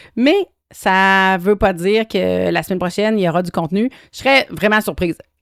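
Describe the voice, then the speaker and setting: The recording is very clean, with a silent background. A woman speaks at a medium pitch and a moderate pace, with ordinary pitch variation. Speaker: podcast host. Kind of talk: solo monologue podcast. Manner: hesitant, many fillers.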